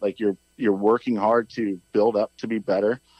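A man with an American accent talks at a fairly low pitch with fairly even intonation. He has a plain, everyday voice. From US Midwest. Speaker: suspension company representative. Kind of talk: casual interview. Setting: phone call.

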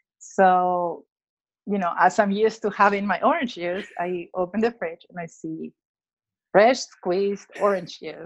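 A woman with a Spanish accent, medium in pitch, at a fairly slow pace, her intonation fairly even and her loudness swinging widely. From Peru, Lima. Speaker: children's book author and illustrator. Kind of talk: interview.

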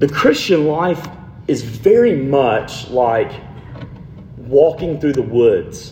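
A man with a fairly high voice speaks very slowly with lively intonation and long, frequent pauses, against noticeable background noise and audible room echo. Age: 30s. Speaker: pastor. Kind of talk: sermon. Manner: casual, conversational.

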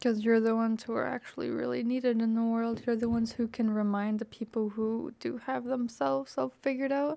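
A woman with a fairly high pitch and a dark, mellow tone speaks at a fairly quick pace. She barely pauses, and her pitch varies in an ordinary way. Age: 20s. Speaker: podcast co-host. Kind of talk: casual chat.

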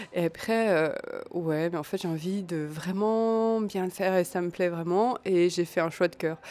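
This woman's tone is dark and mellow. She speaks at a fairly slow pace with fairly even intonation. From Alsace, France (small village). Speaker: textile designer and maker. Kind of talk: interview. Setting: café. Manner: hesitant, many fillers.

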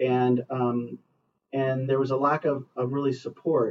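This man talks with an American accent. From US West Coast, Los Angeles area. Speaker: school superintendent. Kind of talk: interview. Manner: frequent fillers and self-repetition.

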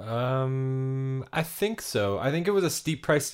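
In a very clean recording with a silent background, a man with an ordinary speaking voice speaks at medium pitch with lively intonation. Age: 30s. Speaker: hockey podcast co-host. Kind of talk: casual chat.

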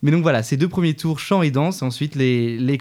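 A man's dark, mellow tone, with ordinary pitch variation, comes through a very clean recording with a silent background. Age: 20s. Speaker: musical theatre student and stage director. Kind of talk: interview. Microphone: too quiet.

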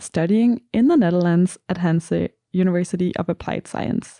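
The speaker has a Danish accent and a dark, mellow tone. The pace is moderate, and the sound is dry and close with no echo. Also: woman. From Denmark. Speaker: student podcast host. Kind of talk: casual interview.

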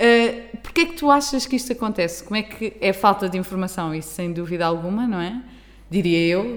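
With noticeable noise in the background, a woman talks at a fairly quick clip. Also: medium pitch for a woman, lively intonation. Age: 20s. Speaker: podcast host. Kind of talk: casual chat.

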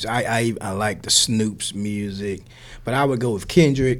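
With an American accent and ordinary pitch variation, a man of medium pitch talks at a fairly slow pace over noticeable background noise. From US South. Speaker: professor. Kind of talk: interview. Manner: halting, with fillers and repetitions.

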